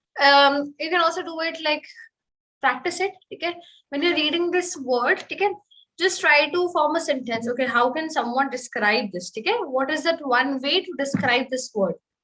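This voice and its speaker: In an Indian accent, the speaker uses a raised, projected voice with a bright, sharp tone and lively intonation. The pace is moderate, broken by long, frequent pauses. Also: woman. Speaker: French teacher. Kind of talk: online webinar instruction.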